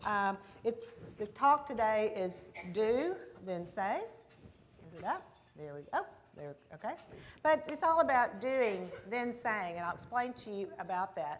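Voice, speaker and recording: A woman with a Texas accent talks at a fairly slow pace and fairly high pitch, with long, frequent pauses. Her warm tone moves through very wide pitch swings and big swings in loudness. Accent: Texas accent, full strength. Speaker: business founder, keynote speaker. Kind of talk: keynote speech. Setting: stage at luncheon with audience. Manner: warm, conversational.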